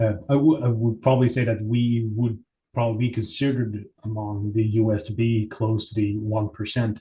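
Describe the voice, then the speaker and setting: At a moderate pace and medium pitch, a man's dark, mellow, somewhat breathy voice stays monotone and flat. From Sweden. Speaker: interviewee. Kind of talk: interview.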